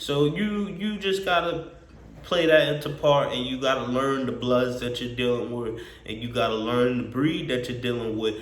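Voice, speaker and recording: A man's medium-pitched voice at a moderate pace, lively in intonation, with audible room echo and noticeable background noise. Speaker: dog breeder and vlogger. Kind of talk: casual vlog monologue. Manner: halting, with repetitions and fillers.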